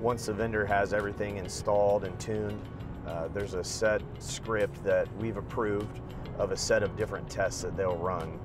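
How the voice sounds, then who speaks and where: A fairly low-pitched man at a moderate pace, fairly even intonation, dry sound with no echo, and clear music in the background. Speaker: guest. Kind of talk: interview answer. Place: car. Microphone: lapel.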